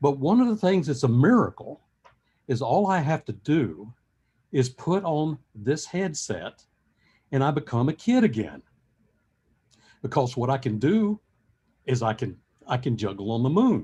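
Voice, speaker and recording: Speaking at a fairly slow pace, a man uses a fairly high pitch with very wide pitch swings and long, frequent pauses. His tone is dark and mellow, and somewhat breathy. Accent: American. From US South. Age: 70s. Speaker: professor. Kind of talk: lecture.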